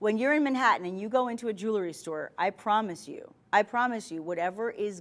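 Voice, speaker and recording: A woman's very fast speech in a New York accent, ordinary pitch variation, on a very clean recording with a silent background. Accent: New York accent, drops T's. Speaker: shopping channel host. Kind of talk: sales pitch. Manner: animated.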